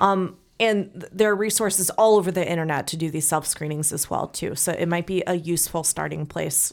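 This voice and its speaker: In a very clean recording with a silent background, a woman speaks with an American accent. Her intonation stays fairly even, and there is vocal fry in her voice. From US Midwest, St. Louis. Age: 30s. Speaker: podcast co-host. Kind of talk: casual interview chat.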